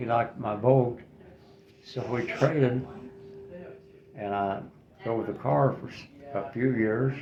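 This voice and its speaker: Amid noticeable background noise and audible room echo, a man at medium pitch speaks at a fairly slow pace with long, frequent pauses, big swings in loudness, and ordinary pitch variation. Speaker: retiree interviewed for a class project. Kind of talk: interview. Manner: halting.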